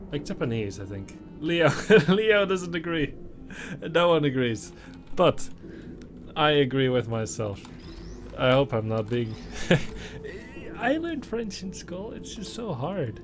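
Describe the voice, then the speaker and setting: A man speaks at a fairly slow pace and fairly high pitch, with very wide pitch swings, big swings in loudness and long, frequent pauses. Music plays in the background, and the room echo is audible. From Netherlands. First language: Dutch. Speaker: streamer. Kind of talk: live stream chat while gaming. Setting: live stream. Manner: casual, animated.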